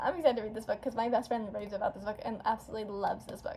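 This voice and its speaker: The woman's voice is pitched fairly high. Noise is noticeable in the background. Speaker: booktuber. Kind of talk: casual chat. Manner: fast; animated.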